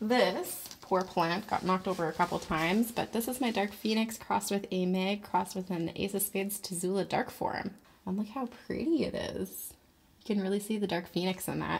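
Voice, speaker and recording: A woman speaks at a moderate pace with ordinary pitch variation and a somewhat breathy voice. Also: medium pitch for a woman. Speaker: plant collector YouTuber. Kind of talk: casual video tour. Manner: casual, chatty.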